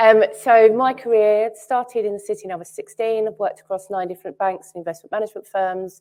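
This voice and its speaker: A woman talks at a very fast pace in a strong Cockney accent. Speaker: entrepreneur, panelist. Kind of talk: panel discussion. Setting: stage with audience.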